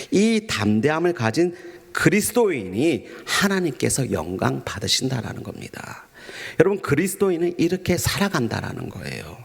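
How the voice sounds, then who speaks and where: Against noticeable background noise, a man with a fairly high pitch and gentle tone talks at a moderate pace with very wide pitch swings. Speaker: pastor. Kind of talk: sermon. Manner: formal, gentle preaching tone.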